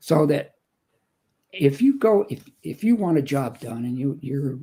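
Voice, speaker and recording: At a moderate pace, a man speaks with a dark, mellow tone, a fairly high pitch and a somewhat breathy quality. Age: 70s. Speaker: motivational speaker. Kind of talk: interview. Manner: animated.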